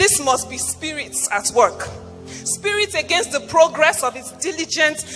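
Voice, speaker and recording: With music in the background, a woman speaks at a high pitch. Her intonation is lively and her pace moderate. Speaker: spoken word poet / minister. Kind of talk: spoken word poetry performance / storytelling in church.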